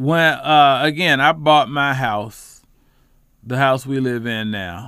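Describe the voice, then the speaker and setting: A man's medium-pitched voice with an American accent, ordinary pitch variation and a very slow pace. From Charlotte, North Carolina, West Side. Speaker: housing fair organizer and community advocate. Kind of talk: casual interview.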